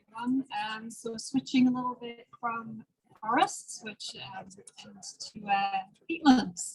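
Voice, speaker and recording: Very slow speech from a woman at fairly high pitch, with big swings in loudness and ordinary pitch variation. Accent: Newcastle. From northern England, Newcastle. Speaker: peatland scientist. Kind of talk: panel presentation.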